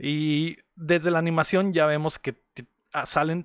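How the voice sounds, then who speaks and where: A man with a fairly high pitch is heard in a dry, close sound with no echo over a quiet background. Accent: Mexican. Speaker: podcast host, film reviewer. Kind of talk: casual chat. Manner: animated.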